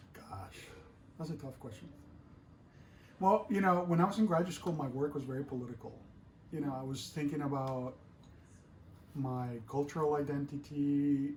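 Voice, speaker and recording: With a Spanish accent, a man speaks at a fairly high pitch and moderate pace, with ordinary pitch variation, long, frequent pauses and audible room echo. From Colombia. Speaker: artist. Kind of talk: interview.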